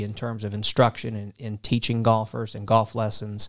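With an American accent, a man speaks at a fairly low pitch in a monotone, flat way, recorded very cleanly with a silent background and a dry, close sound with no echo. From coastal Virginia (Portsmouth, Norfolk area). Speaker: business school faculty member, golf management. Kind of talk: interview. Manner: halting, repeats words.

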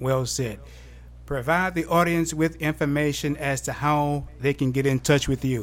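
His intonation fairly even, a man with an unremarkable speaking voice and a fairly high pitch talks at a moderate pace. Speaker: podcast host. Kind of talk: interview.

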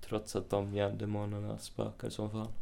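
A man speaks at a moderate pace. His fairly low voice has a dark, mellow tone. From Sweden, Uppsala. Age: 20s. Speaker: actor. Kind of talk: casual chat. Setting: hotel room.

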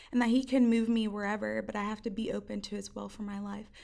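A woman with an American accent speaks at a fairly quick pace in a fairly high pitch, using a plain, everyday voice. The recording is very clean, with a silent background. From northern New Jersey. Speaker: university student. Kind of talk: interview.

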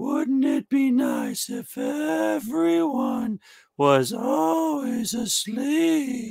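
In a put-on character voice, the speaker moves very slowly through very wide pitch swings. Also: man, extremely high pitch for a man. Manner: creepy, sinister.

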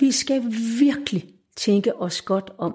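At a fairly slow pace, a woman speaks in a somewhat breathy voice with a dark, mellow tone. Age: 60s. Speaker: retired educator and volunteer activist. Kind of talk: casual interview. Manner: halting.

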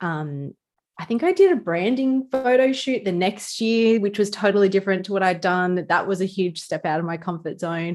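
In a broad Australian accent, a woman speaks at medium pitch and moderate pace with ordinary pitch variation, in a very clean recording with a silent background. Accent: Australian, casual ocker. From Newcastle, Australia. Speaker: small business lawyer. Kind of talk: casual chat.

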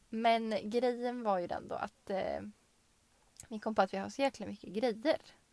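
Here is a woman with an unremarkable speaking voice and a fairly high pitch. She keeps a moderate pace and fairly even intonation. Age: 20s. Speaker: podcast co-host. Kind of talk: casual chat.

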